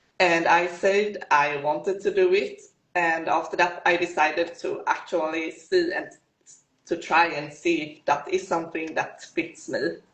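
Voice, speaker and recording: A woman with a Swedish accent speaks at a fairly slow pace in a fairly low pitch, her intonation monotone and flat. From Sweden. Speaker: fitness competitor. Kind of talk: interview.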